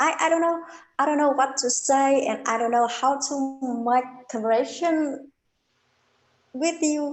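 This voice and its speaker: A woman with a non-native accent speaks at a fairly slow pace in a high voice, her intonation fairly even and broken by long, frequent pauses. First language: not English. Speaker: English learner. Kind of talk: casual chat. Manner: halting.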